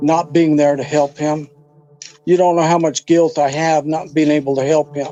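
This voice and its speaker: Music plays behind a man speaking at a moderate pace. His fairly high voice stays monotone and flat. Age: 60s. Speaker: father of missing person. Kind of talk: interview testimony. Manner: halting.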